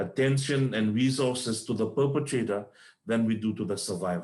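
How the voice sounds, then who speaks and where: Speaking with a non-native accent, a man talks at a moderate pace and medium pitch with ordinary pitch variation. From Fiji. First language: not English. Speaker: panelist on gender-based violence. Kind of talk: panel discussion. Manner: halting.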